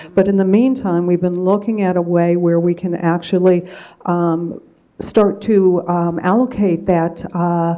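Against a quiet background, a woman with an unremarkable speaking voice talks at a fairly slow pace, her pitch fairly low and her intonation fairly even. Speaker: presenter. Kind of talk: formal presentation to a board. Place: meeting room. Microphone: podium.

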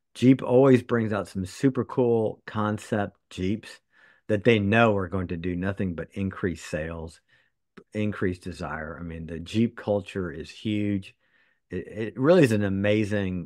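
Here a man talks at a fairly slow pace and a fairly low pitch, with ordinary pitch variation and big swings in loudness. The sound is dry with no echo, over a quiet background. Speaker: podcast co-host. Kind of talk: casual podcast chat. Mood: relaxed, enthusiastic. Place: home room. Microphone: earbuds.

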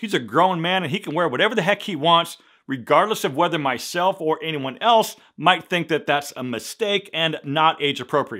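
A moderate pace and lively intonation over a quiet background. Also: man, high pitch for a man. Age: 50s. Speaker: men's fashion YouTuber. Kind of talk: vlog-style tutorial to camera. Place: studio.

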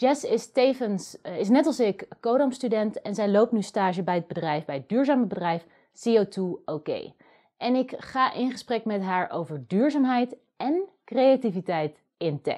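Against a quiet background, a woman with a Dutch accent speaks at a moderate pace in a dark, mellow tone, her fairly high pitch swinging very widely. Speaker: video host and coding student; video host. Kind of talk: scripted narration. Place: home room.

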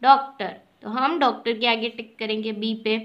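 Against a quiet background, a woman with an Indian accent projects a raised voice with a bright, sharp tone. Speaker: school teacher. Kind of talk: lesson. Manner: slow. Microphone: phone near.

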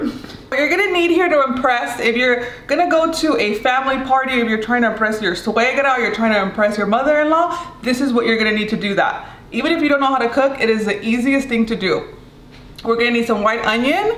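Amid audible room echo, a woman with a high pitch speaks at a fairly quick pace in a playful tone, keeping her loudness very even. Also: lively intonation. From Mexican. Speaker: cooking video host. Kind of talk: casual cooking tutorial. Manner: chatty, playful. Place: kitchen.

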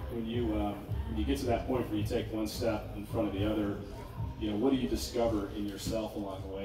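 A man's fairly low voice at a very fast clip, with audible room echo and noticeable background noise. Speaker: panel moderator. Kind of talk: panel discussion. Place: tent.

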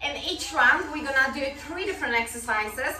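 Over clear background music, a woman uses a raised, projected voice with ordinary pitch variation. The room adds audible echo. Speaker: fitness instructor. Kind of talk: workout instruction. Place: home room.

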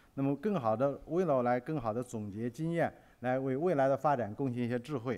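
Speaking at a very fast pace, the man has a medium pitch, ordinary pitch variation and a dark, mellow tone. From China. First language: Mandarin Chinese. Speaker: business magazine editor; conference speaker. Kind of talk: conference presentation. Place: hall. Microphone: podium.

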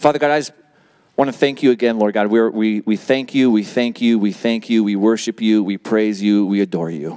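A man's dark, mellow voice at a fairly quick pace, with a quiet background. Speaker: pastor. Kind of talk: sermon. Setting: church. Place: church. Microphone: handheld.

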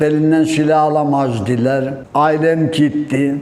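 A man with a fairly high pitch talks at a very slow pace in a monotone, flat intonation. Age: 70s. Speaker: villager. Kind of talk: interview answer, reminiscing.

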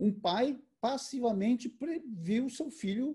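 With a dark, mellow tone, a man's voice swings very widely in pitch over a quiet background. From Brazil, interior of São Paulo state. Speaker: photojournalist. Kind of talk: online conversation, talk. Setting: video call. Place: home room. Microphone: video call.

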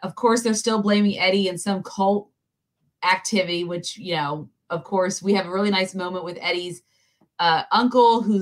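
Against a quiet background, a woman speaks in an unremarkable speaking voice at a medium pitch, her intonation fairly even. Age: 30s. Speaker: pop culture podcast host. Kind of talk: casual chat. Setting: livestream. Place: home room.

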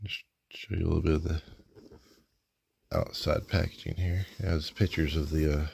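The tone is relaxed and somewhat breathy, at a moderate pace with long, frequent pauses. Light noise lingers in the background. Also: man, very deep, low pitch for a man. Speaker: toy reviewer. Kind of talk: unboxing review. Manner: casual, relaxed. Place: home room. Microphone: phone near.

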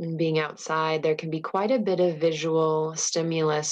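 Here a woman talks in a normal speaking voice. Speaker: meditation guide. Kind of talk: guided meditation. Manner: slow, calm and soothing, with long pauses; soft, gentle, unhurried.

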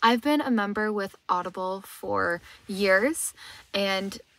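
Dry sound with no echo and ordinary pitch variation. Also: woman. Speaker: travel vlogger. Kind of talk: sponsor read in casual vlog chat. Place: car. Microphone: phone near.

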